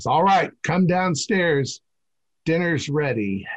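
Putting on a raspy character voice, a man speaks at a very slow pace with a high pitch and lively intonation.

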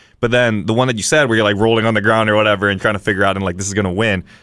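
The recording is very clean, with a silent background. A man speaks at a fairly low pitch with ordinary variation. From Hawaii (Kauai). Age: 30s. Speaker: podcast host. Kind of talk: casual chat.

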